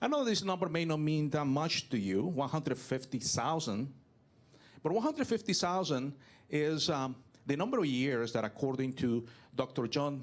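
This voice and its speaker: In a Venezuelan accent, a man talks at a moderate pace with lively intonation and a fairly high pitch. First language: Spanish. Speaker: business technology consultant and public speaker. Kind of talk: keynote talk. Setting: stage with audience.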